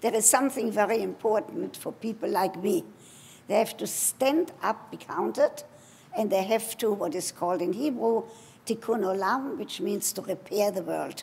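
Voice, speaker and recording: A woman with a German accent, fairly high pitch and ordinary pitch variation, over noticeable background noise. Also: moderate pace. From Germany. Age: 80s+. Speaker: sex therapist and educator. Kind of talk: award acceptance speech.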